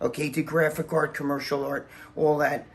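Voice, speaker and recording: A man talks at a moderate pace in a fairly high pitch. Noticeable background noise runs under his voice. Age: 60s. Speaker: bodybuilder. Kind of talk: casual chat, house tour. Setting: at home.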